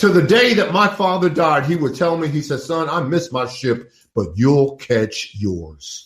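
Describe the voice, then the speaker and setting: Speaking at a fairly slow pace, a man sounds animated and somewhat breathy, his pitch swinging very widely. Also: fairly high pitch for a man. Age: 70s. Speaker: business professor and author. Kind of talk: interview.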